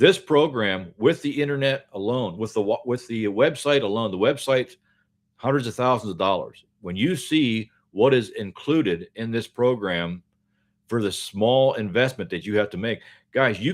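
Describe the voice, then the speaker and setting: On a very clean recording with a silent background, a man speaks at a moderate pace and medium pitch with lively intonation. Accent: American. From US, Pennsylvania. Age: 60s. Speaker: online business promoter. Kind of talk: livestream sales pitch. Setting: livestream. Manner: casual, repetitive filler ('okay?').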